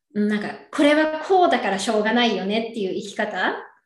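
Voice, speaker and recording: The speech moves at a moderate pace with ordinary pitch variation, and audible room echo surrounds it. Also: woman. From Japan, Yokohama. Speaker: advisor. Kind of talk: casual chat.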